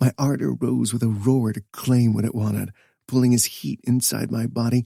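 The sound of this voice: An unforced reading voice with fairly even intonation, over a quiet background.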